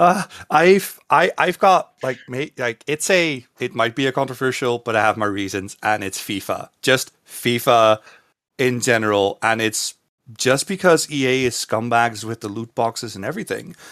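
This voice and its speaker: A man speaks at a moderate pace with a Dutch accent, his medium-pitched voice carrying lively intonation. The recording is very clean with a silent background, and the sound is dry and close with no echo. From Netherlands. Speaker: streamer and caster. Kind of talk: casual interview.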